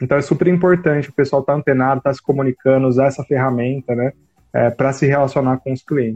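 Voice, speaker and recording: Very fast speech from a man of medium pitch, fairly even intonation, music in the background. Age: 30s. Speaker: marketing consultant and university professor. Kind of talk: casual interview on a live stream.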